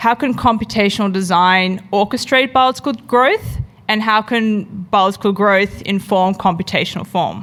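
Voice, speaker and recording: Speaking in an Australian accent, a woman keeps a moderate pace, ordinary pitch variation and very even loudness. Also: medium pitch for a woman. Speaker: product designer and researcher. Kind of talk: conference talk.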